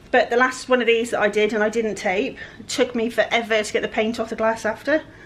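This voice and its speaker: Speech moves along at a moderate pace against noticeable background noise. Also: woman. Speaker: furniture flipper. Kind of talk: tutorial. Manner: casual, chatty.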